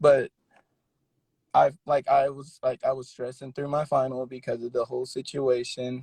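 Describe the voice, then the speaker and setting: At a moderate pace, a man talks in a medium pitch, somewhat breathy and monotone, with a dry, close sound and no echo. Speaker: college student on a livestream. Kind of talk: casual livestream chat. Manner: halting; shy.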